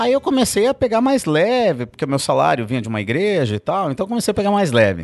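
Talking at a very fast pace with hardly any pauses, a man uses a high pitch that swings very widely. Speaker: pastor. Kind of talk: casual chat. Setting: studio.

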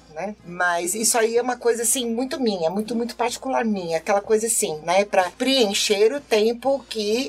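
Against noticeable background noise, a woman with a medium-pitched voice talks at a fairly quick pace with lively intonation. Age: 30s. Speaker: band conductor. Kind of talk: casual chat.

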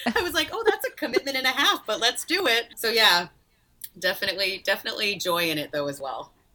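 Very wide pitch swings at a very fast pace, with an American accent. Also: woman, fairly high pitch for a woman. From rural western Massachusetts. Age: 30s. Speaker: philanthropy advisor and nonprofit leader. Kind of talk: interview.

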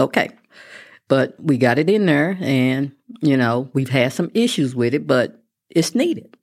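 On a very clean recording with a silent background, a woman in a Texan accent speaks with a very deep, low pitch, vocal fry and ordinary pitch variation. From West Texas (Midland). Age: 60s. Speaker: constable, former teacher and local politician. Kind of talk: interview. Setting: studio.

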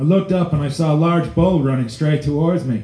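Somewhat breathy and dark, mellow in tone, a man talks at a moderate pace and a fairly high pitch with ordinary pitch variation, with audible room echo. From Alberta, Canada. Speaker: storyteller. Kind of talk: storytelling performance.

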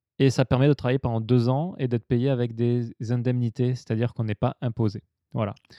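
Against a quiet background, a man with a dark, mellow tone talks at medium pitch and a fairly quick pace with fairly even intonation, the sound dry and close with no echo. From southern France. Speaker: podcast host. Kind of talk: interview. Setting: drinking sake during recording.

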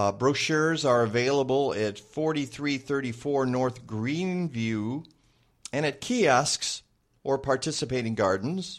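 A man with a medium pitch has an unremarkable speaking voice, with ordinary pitch variation. He talks at a fairly slow pace on a very clean recording with a silent background. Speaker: radio host. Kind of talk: casual chat. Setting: studio.

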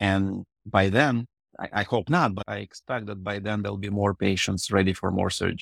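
A man's fairly low voice in a Russian accent, at a moderate pace with fairly even intonation, dry and close with no echo, on a very clean recording with a silent background. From Ukraine, Odessa. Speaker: reconstructive urologist. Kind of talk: interview.

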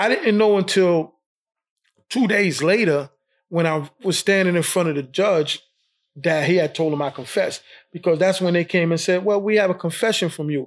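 This man has a New York accent and a high pitch. He talks at a moderate pace with ordinary pitch variation. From New York, Brooklyn. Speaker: wrongfully convicted exoneree. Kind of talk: interview testimony.

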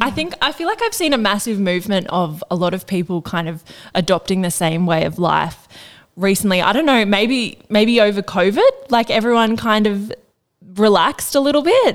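In an Australian accent, a woman talks at a moderate pace and a medium pitch. Her intonation is lively. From Australia (Northern Rivers, NSW). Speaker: podcast co-host. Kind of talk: casual interview chat.

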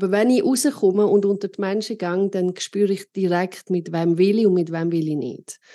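With a quiet background, a woman at medium pitch speaks at a moderate pace with hardly any pauses, a dark, mellow tone and ordinary pitch variation. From Switzerland, Arosa (Graubünden). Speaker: podcast host and keynote speaker. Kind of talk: casual interview.

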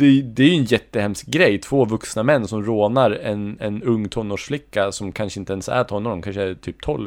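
A man's unremarkable speaking voice, fairly low-pitched with ordinary pitch variation, at a moderate pace with hardly any pauses, on a very clean recording against a silent background. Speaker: podcast co-host. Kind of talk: casual chat.

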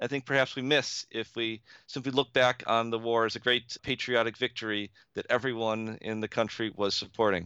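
A man speaks with an American accent in a bright, sharp tone. The background is quiet. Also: medium pitch for a man, fairly even intonation, moderate pace. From upstate New York (Buffalo area). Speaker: history professor and author. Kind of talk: interview. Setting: remote call via Skype. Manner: hesitant with fillers.

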